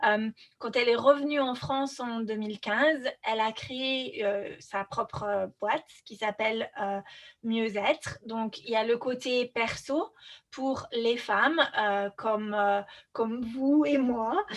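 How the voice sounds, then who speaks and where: With a fairly high pitch, this woman talks very slowly. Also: ordinary pitch variation. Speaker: podcast host. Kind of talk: interview conversation.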